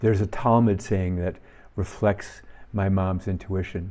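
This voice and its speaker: A man with an American accent speaks at a moderate pace in a fairly low pitch, his tone dark and mellow. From US Midwest, Minnesota. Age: 70s. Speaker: firefighter and soccer coach giving reflections. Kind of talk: reflective talk.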